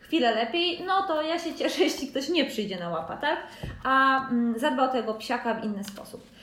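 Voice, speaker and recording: Speaking at a moderate pace and a high pitch, a woman is heard with audible room echo. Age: 30s. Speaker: podcast host, dog owner and pet fair organiser. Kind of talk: solo podcast monologue. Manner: casual, with hesitations.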